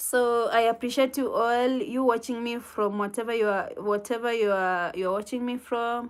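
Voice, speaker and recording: In a very clean recording with a silent background, a woman with a Kenyan accent speaks in a fairly high voice. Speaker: livestreamer answering viewer comments. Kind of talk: casual live chat with viewers. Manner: halting.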